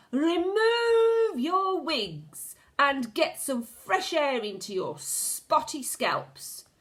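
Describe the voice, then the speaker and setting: A woman's put-on character voice, shouted and raised in projection, extremely high-pitched and guttural, with very wide pitch swings at a very slow pace. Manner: commanding, shouted.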